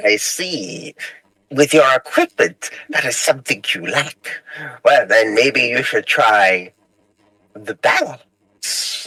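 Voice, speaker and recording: A man puts on a sing-song character voice at a fairly high pitch. He speaks at a very slow pace. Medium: actual play. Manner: sing-song rhyming, giggling.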